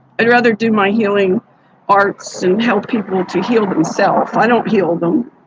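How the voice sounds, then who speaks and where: A woman with an American accent speaks at a moderate pace in a medium pitch, with ordinary pitch variation, over a dry, close sound with no echo and noticeable background noise. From New York. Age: 70s. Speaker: psychic livestreamer and healer. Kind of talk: casual livestream chat. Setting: livestream. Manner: rambling, halting.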